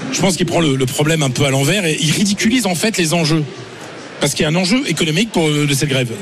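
Noticeable background noise sits behind a man speaking at a very fast pace. His pitch is fairly high, with ordinary pitch variation and very even loudness. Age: 50s. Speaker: journalist pundit. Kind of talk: panel debate. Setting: live broadcast from agricultural fair stand.

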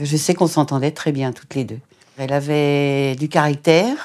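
A woman's very deep, low pitch with a dark, mellow tone, fairly even intonation and a fairly quick pace. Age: old. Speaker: mother of convicted man. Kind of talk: interview testimony.

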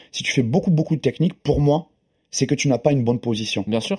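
The voice is somewhat breathy, with a dark, mellow tone. It moves at a fairly quick pace in a dry, close sound with no echo. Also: man. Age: 40s. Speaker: grappling and jiu-jitsu champion. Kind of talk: casual chat.

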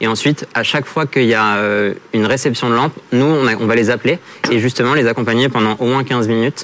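At a moderate pace and medium pitch, a man speaks with fairly even intonation over noticeable background noise. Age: 30s. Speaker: startup founder. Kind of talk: pitch and jury Q&A.

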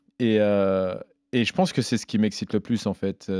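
The recording has a dry, close sound with no echo as a man speaks with fairly low pitch, fairly even intonation, and a fairly quick pace. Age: 30s. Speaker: MMA fighter and commentator. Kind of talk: casual chat. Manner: halting.

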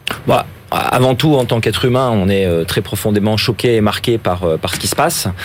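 Over noticeable background noise, a man speaks fairly quickly at a fairly low pitch, with ordinary pitch variation and very even loudness. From France, Ardèche. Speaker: investment fund founder and football club president. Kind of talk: radio interview.

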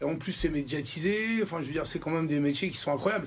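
An animated tone over noticeable background noise. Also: man. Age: 50s. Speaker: restaurant chef. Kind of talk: TV studio interview. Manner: animated, halting with many repetitions.

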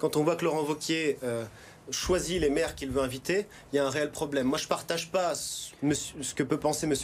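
Using a plain, everyday voice, a man speaks fairly quickly at a fairly high pitch with fairly even intonation. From France, Haute-Savoie. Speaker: regional election candidate, politician. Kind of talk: political TV interview.

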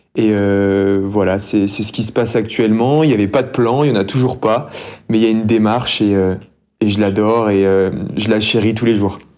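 Audible room echo follows a man who speaks at a moderate pace in a fairly low pitch with fairly even intonation. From France, city-raised. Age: 20s. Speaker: champion trail runner. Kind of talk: podcast interview.

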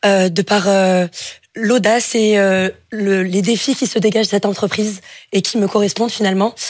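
In a very clean recording with a silent background, a woman speaks at medium pitch and a moderate pace with long, frequent pauses. Her intonation is monotone and flat, and her loudness is very even. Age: 20s. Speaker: engineering student. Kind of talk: job interview on radio. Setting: studio.

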